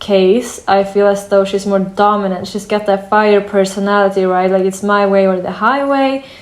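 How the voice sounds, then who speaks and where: Noticeable background noise runs behind a woman talking at a medium pitch. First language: not English. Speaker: tarot reader. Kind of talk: tarot reading. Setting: at a wooden table in sunlight. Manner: hesitant, many fillers.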